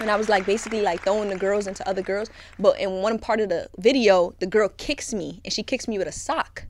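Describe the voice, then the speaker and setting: With a Brooklyn accent, a woman talks at a very fast pace with hardly any pauses, at a medium pitch with ordinary pitch variation. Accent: New York (Brooklyn). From Brooklyn, New York. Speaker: guest, content creator who was in prison. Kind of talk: casual podcast interview. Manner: animated, interrupts often, joking.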